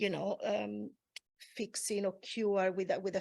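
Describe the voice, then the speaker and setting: A woman with a non-native accent is heard on a very clean recording against a silent background. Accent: foreign. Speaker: massage therapist. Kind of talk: panel discussion.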